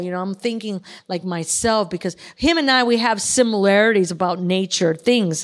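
In a very clean recording with a silent background, a woman with an unremarkable speaking voice talks at a moderate pace and medium pitch with ordinary pitch variation. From Chicago. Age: 50s. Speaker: artist and military veteran. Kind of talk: casual interview. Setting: in person at a club.

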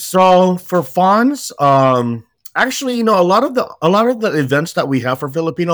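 A man with an American accent and a high pitch is heard on a very clean recording with a silent background. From San Jose, California. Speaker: youth nonprofit director. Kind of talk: casual chat.

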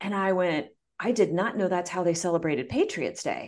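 At a fairly quick pace, a woman talks in a medium pitch. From US Midwest. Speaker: coach and entrepreneur, marathon runner. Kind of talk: interview, personal story.

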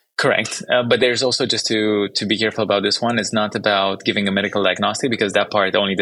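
In a Romanian accent, a man with a fairly low voice speaks very fast and fairly evenly on a very clean recording with a silent background. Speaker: startup founder and CEO. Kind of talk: interview conversation.

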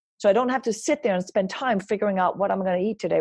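Speaking with a Danish accent, a woman uses a medium pitch and a dark, mellow tone. Her pitch varies in an ordinary way against a quiet background. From Denmark. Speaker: wellness coach and speaker. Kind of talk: interview.

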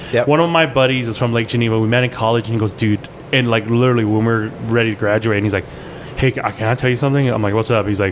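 Talking very fast, a man keeps a medium pitch with fairly even intonation and very even loudness. Noticeable background noise runs underneath. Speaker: chef. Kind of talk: casual chat.

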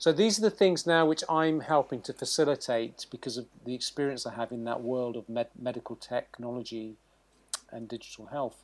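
A moderate pace with ordinary pitch variation and big swings in loudness. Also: man, medium pitch for a man. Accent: British. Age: 50s. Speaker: surgeon. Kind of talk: interview.

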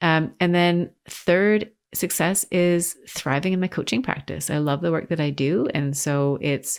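This woman's voice sits fairly low, with ordinary pitch variation. The recording is very clean, with a silent background. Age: 40s. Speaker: lawyer turned executive coach. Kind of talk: interview conversation.

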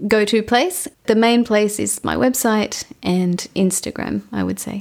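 The recording is very clean with a silent background. The speaker talks very slowly in an Australian accent with ordinary pitch variation. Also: woman. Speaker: ecologist and podcast host. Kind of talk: interview.

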